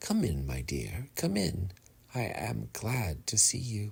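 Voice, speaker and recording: A man speaks in a put-on character voice that sounds shaky, with a fairly low pitch and a fairly slow pace. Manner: sweet.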